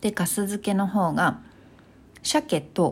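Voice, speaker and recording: Some breathiness runs through the voice. The recording is very clean, with a silent background. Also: woman. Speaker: solo podcaster. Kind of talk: casual monologue.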